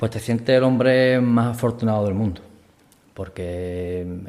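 In a dark, mellow tone, a man speaks at a fairly low pitch with fairly even intonation. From Andalusia, Chipiona (Cádiz). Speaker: police officer and religious procession foreman. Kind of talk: testimony interview. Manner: halting, many fillers.

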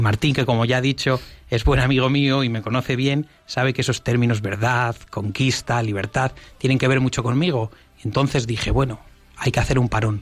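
The pace is fairly quick and the loudness very even. It is an ordinary speaking voice with fairly even intonation. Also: man, medium pitch for a man. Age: 20s. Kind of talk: radio interview.

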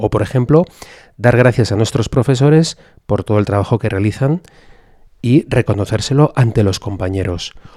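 Dry and close with no echo, a man's dark, mellow voice moves at a moderate pace. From Spain, Madrid. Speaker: priest and school chaplain. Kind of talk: radio interview.

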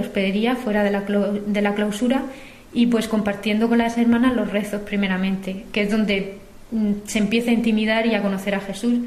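Amid noticeable background noise, a woman speaks at a fairly quick pace in a fairly high, monotone, flat voice. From Murcia, Spain. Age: 20s. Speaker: cloistered nun in formation. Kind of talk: recorded testimony. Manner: halting.

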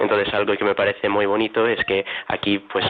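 Noticeable background noise sits behind a man speaking at a fairly quick pace. His pitch is fairly low and his intonation monotone and flat. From United States. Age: 20s. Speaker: seminarian. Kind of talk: radio interview. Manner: halting.

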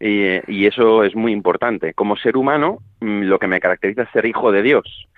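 A man with medium pitch talks at a moderate pace in a plain, everyday voice. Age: 30s. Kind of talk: radio interview.

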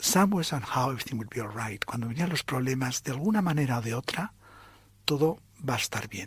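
A man's medium-pitched voice at a moderate pace. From Spain. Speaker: priest. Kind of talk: testimony.

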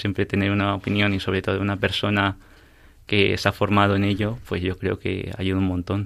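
A man's fairly low voice, monotone and flat in intonation, at a moderate pace, on a very clean recording with a silent background. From Peru, raised in Spain from age six. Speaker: university student. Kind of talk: interview. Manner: hesitant.

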